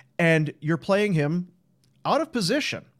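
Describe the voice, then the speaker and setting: This man has an ordinary speaking voice, fairly high in pitch, with lively intonation at a moderate pace. The recording is very clean, with a silent background. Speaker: hockey podcast host. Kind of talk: casual post-game show chat.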